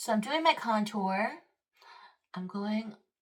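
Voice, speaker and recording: At a fairly slow pace, a woman talks in a somewhat breathy voice. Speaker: makeup artist. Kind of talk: tutorial. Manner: casual, filler-heavy.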